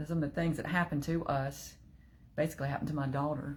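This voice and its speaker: Her pace is very fast. The woman's voice sounds somewhat breathy. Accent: Southern US. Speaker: online group leader. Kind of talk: casual livestream talk. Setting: live video stream.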